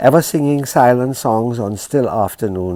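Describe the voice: What you hear is plain reading aloud.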